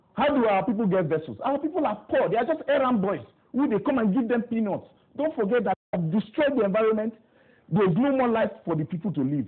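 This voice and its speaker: A man's high voice at a very fast pace, with lively intonation and an animated tone. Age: young. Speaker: youth council president, politician. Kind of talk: TV interview. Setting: TV studio.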